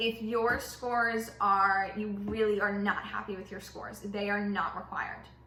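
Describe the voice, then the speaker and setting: With an American accent, a woman speaks at a medium pitch and a moderate pace in an animated tone, hardly pausing, her loudness swinging widely, amid noticeable background noise and audible room echo. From US South. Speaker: YouTuber, recent high school graduate. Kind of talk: casual vlog Q&A while baking.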